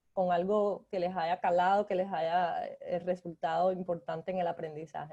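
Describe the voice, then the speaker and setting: With a Cuban accent, a woman speaks at a fairly slow pace in a fairly low pitch, her dark, mellow tone held in monotone, flat intonation. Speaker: graphic design lecturer. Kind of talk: guest lecture.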